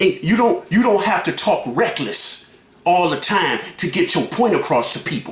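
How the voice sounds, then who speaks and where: Loud and animated in tone, the voice moves at a moderate pace over noticeable background noise. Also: man. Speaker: YouTube reaction vlogger. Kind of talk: reaction commentary.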